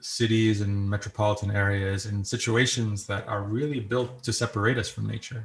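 In a very clean recording with a silent background, a man with an American accent speaks in a fairly low, somewhat breathy voice with monotone, flat intonation. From New York. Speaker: software engineer and composer, guest. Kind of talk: interview, storytelling.

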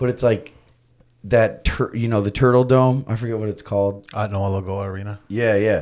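The delivery has a moderate pace and fairly even intonation. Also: man, fairly low pitch for a man. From Florida, US. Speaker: skateboarder and radio host. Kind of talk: casual chat. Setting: studio.

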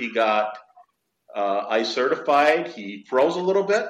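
A man with an American accent at a fairly slow pace, in audible room echo. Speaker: dive shop owner and instructor. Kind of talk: interview. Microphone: poor connection, messy audio.

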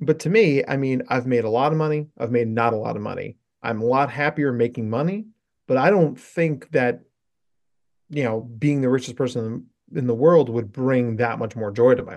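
A man with a normal speaking voice at medium pitch and a moderate pace. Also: ordinary pitch variation. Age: 40s. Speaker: psychologist specializing in neurodivergence. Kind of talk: casual chat.

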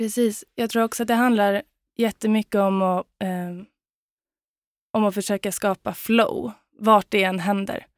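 A woman speaks at a very slow pace with fairly even intonation. The sound is dry and close with no echo, on a very clean recording with a silent background. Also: medium pitch for a woman. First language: Swedish (speaking Danish). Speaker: dancer and choreographer. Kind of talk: casual chat.

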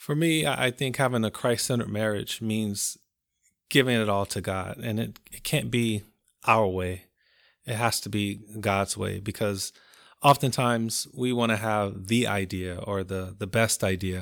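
On a very clean recording with a silent background, a man with an American accent uses an ordinary speaking voice, fairly low in pitch, at a moderate pace with ordinary pitch variation. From Compton, California. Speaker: marriage ministry leader. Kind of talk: casual chat.

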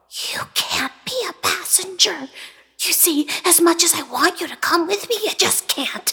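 A woman whispers at a moderate pace. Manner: kind, then scared and tearful.

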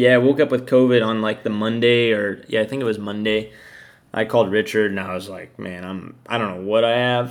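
A man talks fairly quickly in a normal speaking voice, fairly low in pitch and fairly even in intonation, his loudness swinging widely. The recording is very clean, with a silent background. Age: 30s. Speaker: motorcycle racer. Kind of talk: casual chat.

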